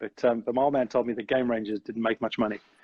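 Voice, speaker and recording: Against a quiet background, a man with a South African accent speaks at a medium pitch. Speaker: business owner. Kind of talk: interview chat. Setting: live video stream. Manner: halting, many fillers.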